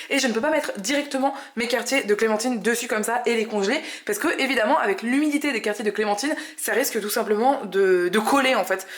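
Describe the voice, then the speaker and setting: Very fast speech with ordinary pitch variation over noticeable background noise. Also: woman. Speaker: vegan cooking youtuber. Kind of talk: cooking tutorial.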